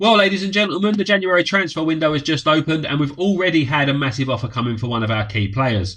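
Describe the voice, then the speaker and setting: Talking at a very fast pace with hardly any pauses, a man uses a fairly high pitch and very wide pitch swings. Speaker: gaming YouTuber. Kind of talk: game commentary.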